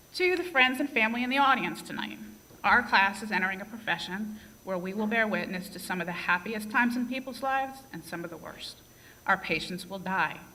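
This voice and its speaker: A woman talks at a fairly quick pace and medium pitch, with lively intonation and big swings in loudness, in a room with audible echo. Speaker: nursing graduate, class speaker. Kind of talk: graduation speech. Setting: stage with audience. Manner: tends to speak fast.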